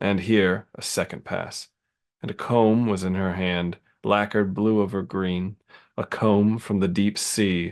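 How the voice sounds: Fairly even intonation in a natural reading voice, quiet background.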